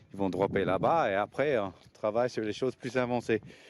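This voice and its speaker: A man speaks with a non-native accent. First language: not French (speaking French). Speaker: skateboard coach. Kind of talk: informal explanatory talk to parents. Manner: hesitant, many fillers and repetitions.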